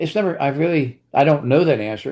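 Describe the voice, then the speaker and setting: A man speaks in a dark, mellow tone with an American accent. The background is quiet. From Pennsylvania, US. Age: 80s+. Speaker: author. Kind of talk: interview. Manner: halting.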